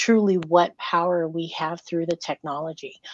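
At a moderate pace, a woman talks at a medium pitch with monotone, flat intonation. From Federated States of Micronesia. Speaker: panel moderator. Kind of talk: panel moderation.

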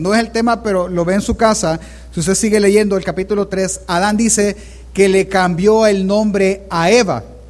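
Ordinary pitch variation marks the high voice of a man. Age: 30s. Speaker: pastor. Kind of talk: sermon.

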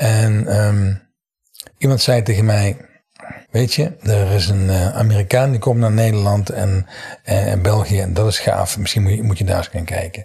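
A man with a plain, everyday voice speaks at a fairly slow pace, fairly low in pitch and with fairly even intonation. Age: 60s. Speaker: NLP trainer. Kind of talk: interview.

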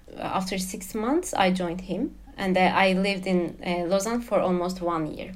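A woman with a Turkish accent speaks at a moderate pace in a medium pitch, her intonation fairly even. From Turkey. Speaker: expat spouse guest. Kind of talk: casual interview. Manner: hesitant, many fillers.

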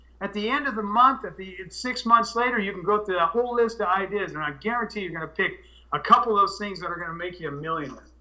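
In a raised, projected voice, a man with a high pitch talks very fast, his loudness swinging widely while his pitch varies in an ordinary way. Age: 50s. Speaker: cannabis grower and soil business owner. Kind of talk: casual interview. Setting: Skype call.

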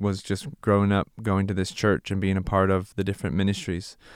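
With an American accent, a man talks at a fairly low pitch in a very clean recording with a silent background. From Southern California (Santa Clarita). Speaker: missionary. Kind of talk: casual interview conversation.

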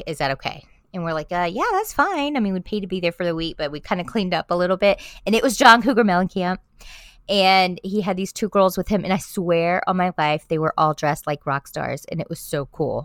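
On a very clean recording with a silent background and a dry, close sound with no echo, a woman with an American accent talks at a fairly quick pace and medium pitch, with ordinary pitch variation. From South Florida. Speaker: podcaster. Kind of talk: casual chat. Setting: at an East Coast beach.

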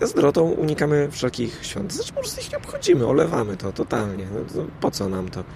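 A man talks at a very fast pace with hardly any pauses over noticeable background noise. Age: middle-aged. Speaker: podcaster. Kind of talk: casual monologue. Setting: outdoors on a rooftop. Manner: halting.

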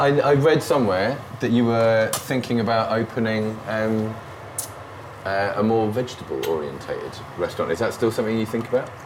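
With a British accent, a man talks at a fairly quick pace amid noticeable background noise and audible room echo. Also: medium pitch for a man, ordinary pitch variation. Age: 40s. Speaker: food podcast host. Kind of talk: casual chat. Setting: home kitchen.

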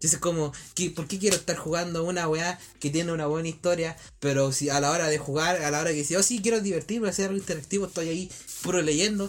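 Talking at a very fast pace, a man with a high voice keeps his intonation fairly even. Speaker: podcast host. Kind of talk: casual chat.

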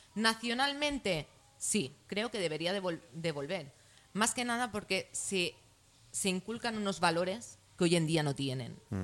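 At a fairly slow pace, a woman speaks at medium pitch with very wide pitch swings. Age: 30s. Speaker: political activist. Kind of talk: talk show debate.

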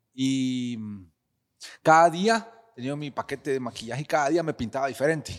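With a Costa Rican accent, a man of fairly high pitch speaks at a moderate pace, lively in intonation, with long, frequent pauses. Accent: Costa Rican-sounding Spanish. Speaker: clown and performing artist. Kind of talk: casual interview chat.

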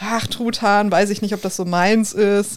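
A woman speaks with a Ruhr accent. Her pitch is medium, with ordinary pitch variation. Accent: Ruhr area German. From Ruhr area, Germany. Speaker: podcast co-host. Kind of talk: casual chat.

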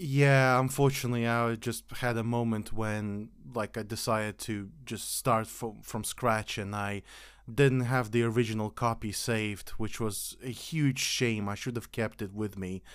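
A man speaks at a fairly slow pace, his medium-pitched voice carrying fairly even intonation. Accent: non-native. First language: not English. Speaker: podcast host. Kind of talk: casual chat.

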